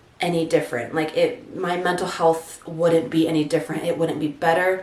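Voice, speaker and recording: Audible room echo and noticeable background noise surround a woman's voice. She speaks at a fairly low pitch and a moderate pace. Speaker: content creator. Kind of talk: personal testimony vlog.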